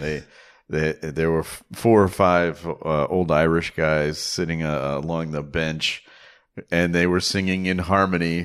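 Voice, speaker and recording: In a very clean recording with a silent background, a man with an American accent speaks in a very deep, low pitch. His intonation is fairly even and his pace fairly slow. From Chicago. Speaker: author and podcaster. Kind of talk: casual chat. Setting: recorded in a holiday rental.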